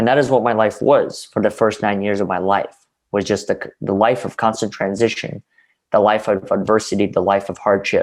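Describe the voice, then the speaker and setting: A man speaks at a moderate pace in a fairly low, flat monotone. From Russia. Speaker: interview guest. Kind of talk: interview.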